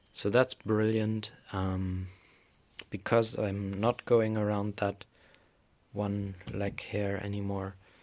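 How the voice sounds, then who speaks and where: At a very slow pace, a man with a fairly low voice speaks in a monotone, flat way with long, frequent pauses. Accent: German. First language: German. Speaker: craft maker. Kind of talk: tutorial. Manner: halting.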